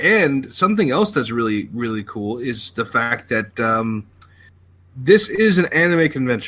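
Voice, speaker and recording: A man speaks loud with an American accent, a medium pitch and a bright, sharp tone. His pace is fairly slow with very wide pitch swings, on a very clean recording with a silent background. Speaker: podcast co-host. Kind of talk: casual chat.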